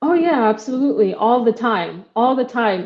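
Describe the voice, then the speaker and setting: A woman with an American accent speaks at a moderate pace with ordinary pitch variation. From Kenya. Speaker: startup co-founder. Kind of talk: interview. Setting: live video show.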